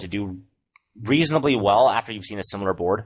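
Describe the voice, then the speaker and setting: Over a silent background in a very clean recording, a man talks at a fairly quick pace with a fairly low pitch and ordinary pitch variation. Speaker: poker coach. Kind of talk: tutorial. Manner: fast.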